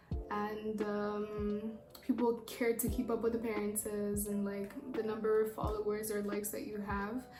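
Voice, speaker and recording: A woman speaks in a Rwandan accent, fairly high in pitch, with monotone, flat intonation. Music plays in the background, and room echo is audible. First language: Kinyarwanda. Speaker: YouTuber. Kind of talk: casual chat. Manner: rambling, fast.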